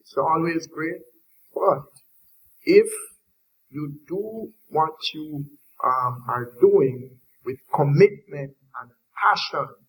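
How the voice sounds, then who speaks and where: This man speaks in a Jamaican accent with long, frequent pauses. His loudness swings a lot. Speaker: industry panelist. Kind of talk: panel discussion.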